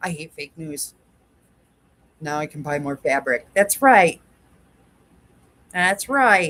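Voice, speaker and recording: A woman with a very deep, low pitch, very slow delivery, long and frequent pauses, lively intonation and big swings in loudness. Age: 60s. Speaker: quilting livestream host. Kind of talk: casual livestream chat. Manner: chatty, talks to dog.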